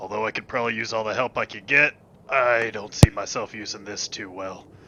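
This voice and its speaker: Using a put-on character voice, a man speaks raspily at a medium pitch and a fairly quick pace. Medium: actual play. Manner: folksy, archaic turns of phrase.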